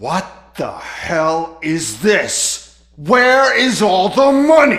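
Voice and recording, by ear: A man's put-on character voice, high in pitch, with lively intonation and a very slow pace. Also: fairly bright tone.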